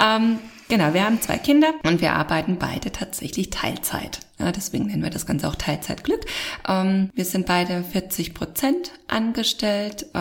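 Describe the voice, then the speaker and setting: A woman speaks at a moderate pace in an unremarkable speaking voice. Her pitch is medium, and her intonation is lively. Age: 30s. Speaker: podcast host. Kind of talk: casual chat.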